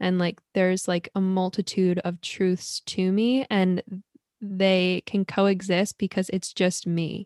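Very slow, monotone, flat delivery from a woman at medium pitch, with very even loudness, a dry, close sound with no echo, and a very clean recording against a silent background. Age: 20s. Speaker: podcast host. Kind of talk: casual interview chat. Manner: hesitant, many fillers.

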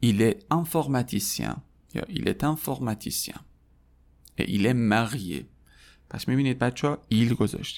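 A man with a medium pitch and vocal fry talks at a moderate pace with long, frequent pauses and ordinary pitch variation in a very clean recording with a silent background. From Iran. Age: 30s. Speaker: French teacher. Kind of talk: tutorial.

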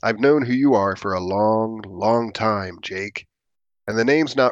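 Natural reading voice, quiet background

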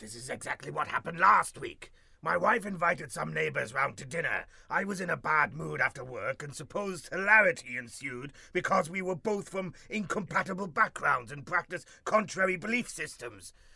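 A man does a put-on character voice, high in pitch and at a fairly quick pace. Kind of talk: comic overacting. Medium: comedy sketch. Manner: pompous and peevish.

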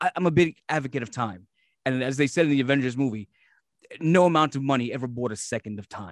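A man talks at a very fast pace with a New York accent, his pitch in the middle range. The sound is dry and close, with no echo. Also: ordinary pitch variation. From Brooklyn, New York. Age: 40s. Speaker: podcast host. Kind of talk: casual interview.

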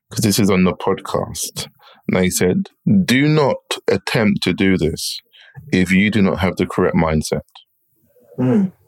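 Over music in the background, a man talks at a moderate pace with very even loudness and long, frequent pauses, in a dry, close sound with no echo. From England, partly schooled in Jamaica. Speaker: entrepreneur and property investor. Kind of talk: interview.

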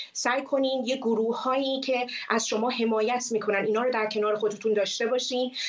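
A woman's high-pitched, monotone, flat delivery at a very fast pace, with very even loudness and hardly any pauses, amid noticeable background noise and audible room echo. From Iran. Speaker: former TV presenter, activist. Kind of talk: interview.

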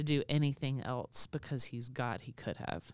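In a very clean recording with a silent background, a woman with a Southern US accent speaks at a very deep, low pitch with fairly even intonation. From Alabama, US. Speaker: podcast co-host. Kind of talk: casual chat.

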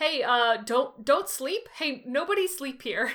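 At a fairly slow pace, a woman speaks in a put-on character voice pitched high. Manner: ominous.

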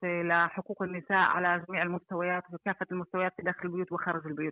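A woman speaks at a medium pitch. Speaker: activist and association director. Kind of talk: interview answer on phone. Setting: phone call.

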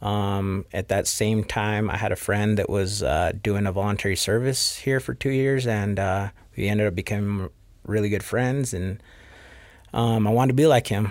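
A man with a plain, everyday voice speaks at a moderate pace in a fairly low pitch with ordinary pitch variation. The recording is very clean, with a silent background. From Rexburg, Idaho (Mexican immigrant parents). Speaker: barber, business owner. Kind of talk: interview.

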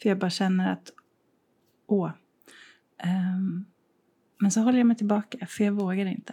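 At a moderate pace with long, frequent pauses, a woman speaks at medium pitch in a somewhat breathy voice with fairly even intonation, in a very clean recording with a silent background. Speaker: podcast co-host. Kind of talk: casual chat. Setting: co-host's art studio, sharing one mic.

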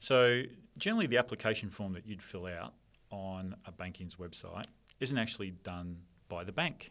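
In a very clean recording with a silent background, a man with an Australian accent talks at a moderate pace in a fairly low pitch, with ordinary pitch variation and big swings in loudness. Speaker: software company director. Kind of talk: casual interview chat.

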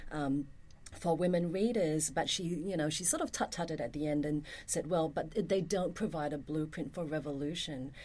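Her voice is very deep and low, with a dark, mellow tone. The woman keeps a moderate pace and fairly even intonation. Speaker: university professor. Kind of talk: casual chat.

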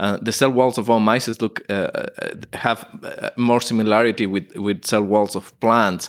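On a very clean recording with a silent background, a man speaks with an Ecuadorian accent at a medium pitch. His pace is fairly slow and his intonation fairly even. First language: Spanish. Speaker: plant pathology professor. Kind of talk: interview.

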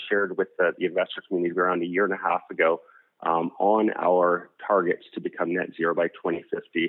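A man talks with a Canadian accent. His pace is fairly quick. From Canada, Alberta. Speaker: energy company executive. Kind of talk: interview. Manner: fast.

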